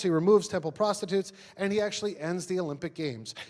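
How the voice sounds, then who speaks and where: Talking at a very fast pace, a man with a New York accent uses a high pitch and ordinary pitch variation. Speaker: pastor. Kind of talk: sermon. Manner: casual, conversational with fillers.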